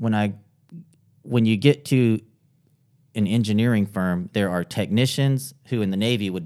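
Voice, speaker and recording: In a very clean recording with a silent background, a man speaks in an ordinary speaking voice, fairly low in pitch with lively intonation. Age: 40s. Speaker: lawyer and marketing consultant. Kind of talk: podcast interview.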